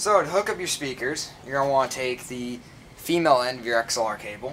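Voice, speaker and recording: Through noticeable background noise, a man speaks at a fairly quick pace with ordinary pitch variation. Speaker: person demonstrating audio gear. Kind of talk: tutorial. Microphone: camera far.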